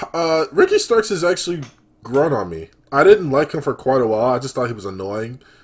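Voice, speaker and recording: A man talks with a fairly high pitch that swings very widely. His loudness also rises and falls a lot. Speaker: podcast host. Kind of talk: casual chat. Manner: casual, laid-back.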